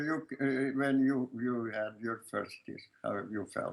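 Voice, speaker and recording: A man with a strong Lithuanian accent. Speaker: filmmaker. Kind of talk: interview answer. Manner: hesitant, many fillers.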